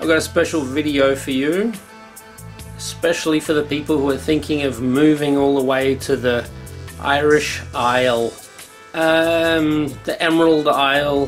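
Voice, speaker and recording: Music plays behind a man who speaks fairly slowly. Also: fairly high pitch for a man, ordinary pitch variation. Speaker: cottage renovator. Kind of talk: casual talk to camera.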